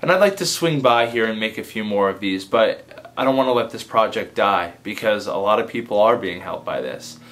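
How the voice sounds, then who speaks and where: The speech runs at a fairly quick pace with hardly any pauses. Background noise is noticeable. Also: man, medium pitch for a man, lively intonation. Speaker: advice vlogger and comedy video maker. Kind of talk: casual direct-to-camera vlog.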